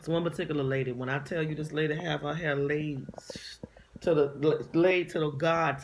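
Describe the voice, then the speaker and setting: At a moderate pace, a woman with a very deep, low pitch speaks in an animated tone with ordinary pitch variation. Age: 40s. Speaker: vlogger, inspirational speaker. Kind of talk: casual monologue vlog. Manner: animated, emphatic.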